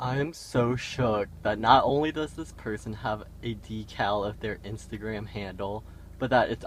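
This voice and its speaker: Here a man talks at a fairly slow pace with an American accent. His pitch is medium, with ordinary variation. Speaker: vlogger. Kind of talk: casual vlog.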